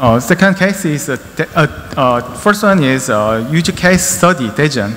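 Lively intonation in a Korean accent at a fairly slow pace, with light background noise. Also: man. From South Korea. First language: Korean (speaking Vietnamese). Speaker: company infrastructure department head, presenter; presenter. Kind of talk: conference presentation. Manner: halting, many fillers. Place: hall. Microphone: podium.

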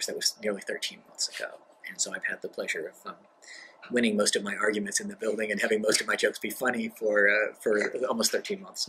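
A man talks at a very fast pace. There is light background noise. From grew up abroad in a US diplomatic family. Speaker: diplomat. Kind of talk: interview monologue. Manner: halting, many fillers. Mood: relaxed, reflective, light humor. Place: office.

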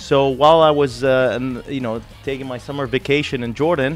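With faint music behind him, a man talks at a moderate speed. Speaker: guest. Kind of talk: interview answer. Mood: friendly, upbeat. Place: studio. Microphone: studio mic.

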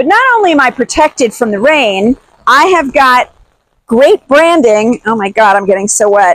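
At a moderate pace, a woman speaks with an upbeat, animated tone, a high pitch and lively intonation in a dry sound with no echo. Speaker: swag seller and vlogger. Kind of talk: product pitch demo. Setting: outdoors in the rain. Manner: upbeat, animated, enthusiastic. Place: rain. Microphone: lapel.

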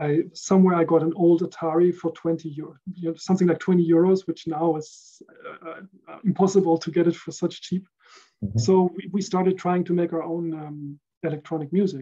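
A man with a German accent speaks at a fairly quick pace in a high, dark and mellow voice, his intonation fairly even but his loudness swinging widely against a quiet background. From Netherlands (Rotterdam area, The Hague); Netherlands. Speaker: recording engineer; podcast guest. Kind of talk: casual chat. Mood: relaxed, reflective. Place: home room.

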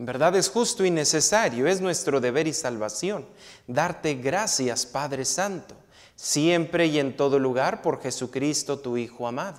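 A man with a fairly high pitch speaks in a solemn, warm tone at a fairly slow pace against a quiet background. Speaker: priest. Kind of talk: priest homily and mass liturgy. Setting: church. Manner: solemn, measured, reverent liturgical delivery; warm, direct address to congregation. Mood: solemn, measured. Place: church. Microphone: lapel.

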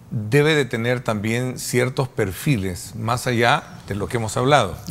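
Speaking at a moderate pace, this man uses a plain, everyday voice at medium pitch with ordinary pitch variation. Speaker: talk show host. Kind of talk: interview.

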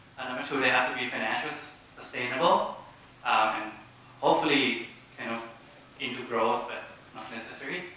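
Against light background noise and strong room echo, the speech runs at a fairly quick pace with fairly even intonation and long, frequent pauses. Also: man. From Thailand. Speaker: social enterprise founder. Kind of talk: panel presentation. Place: hall.

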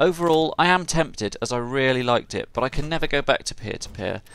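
A man's fairly high voice, very fast, with lively intonation. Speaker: gaming YouTuber. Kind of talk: game review narration.

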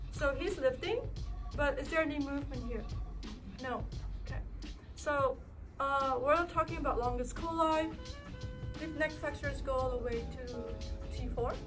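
Clear music plays in the background as the speaker talks at a moderate pace. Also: woman. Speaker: physical therapist. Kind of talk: demonstration to class while cueing a client. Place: gym. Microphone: camera far.

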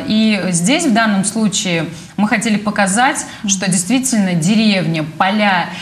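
A woman talks at a fairly slow pace with ordinary pitch variation. Her loudness stays very even. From Samara, Russia. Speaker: organization president. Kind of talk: studio interview. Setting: studio. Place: studio. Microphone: lapel.

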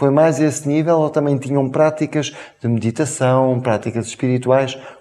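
A man with a European Portuguese accent. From Portugal. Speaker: interview show host; talk show host. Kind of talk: interview. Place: studio. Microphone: lapel.

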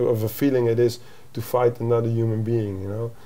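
In a Dutch accent, a man speaks at a moderate pace with a dark, mellow tone. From Netherlands. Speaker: MMA coach; fight coach guest. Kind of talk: interview. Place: home room.

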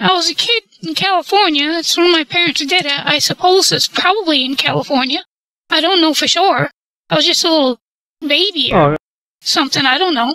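This man's voice sits at an extremely high pitch, with lively intonation and a fairly quick pace. The sound is dry and close, with no echo. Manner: prim, scolding, folksy.

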